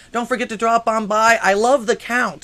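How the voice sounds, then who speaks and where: With a bright, sharp tone, a man talks in a raised, projected voice. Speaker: call-in talk show host. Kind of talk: live show monologue. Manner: casual; halting, repeats words.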